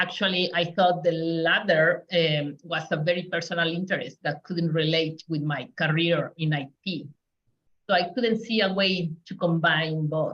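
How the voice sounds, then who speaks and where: Talking fairly slowly, a woman with a Spanish accent keeps her intonation fairly even. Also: fairly low pitch for a woman. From Mexico. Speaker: community engagement specialist. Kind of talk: panel talk.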